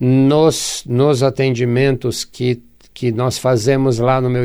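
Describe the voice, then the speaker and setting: Here a man talks very slowly. His pitch is medium. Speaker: radio host and therapist. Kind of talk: radio show monologue.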